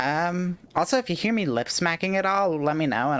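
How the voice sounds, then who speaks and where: Someone talks at a fairly quick pace with a Southern Californian accent. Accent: Valley Girl. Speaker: game streamer. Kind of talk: casual chat.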